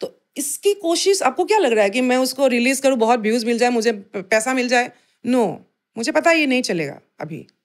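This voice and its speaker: A woman with a high-pitched voice talks at a moderate pace, her pitch swinging very widely. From Assam. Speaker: folk and Bhojpuri singer. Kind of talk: interview answer.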